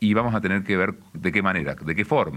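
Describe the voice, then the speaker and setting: With a bright, sharp tone and a fairly low pitch, a man talks at a fairly quick pace. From Argentina, interior of Córdoba province. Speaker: radio host. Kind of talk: radio talk show.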